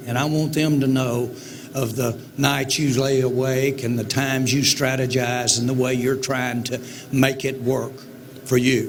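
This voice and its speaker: Over noticeable background noise, a man speaks at a fairly slow pace. His medium pitch stays monotone and flat. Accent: American. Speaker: football team owner. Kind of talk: speech at a luncheon. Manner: heartfelt, earnest.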